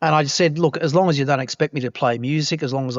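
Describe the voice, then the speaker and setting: The speaker is a man with a fairly high pitch. He talks at a very fast pace. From Australia, New South Wales. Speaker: journalist and broadcaster. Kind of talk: podcast interview.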